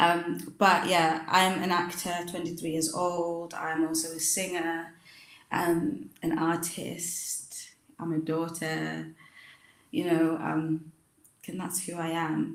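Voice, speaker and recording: A woman speaks at a very slow pace in a monotone, flat intonation. Audible room echo hangs on the recording. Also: fairly low pitch for a woman. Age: 20s. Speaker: stage actress. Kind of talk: casual interview.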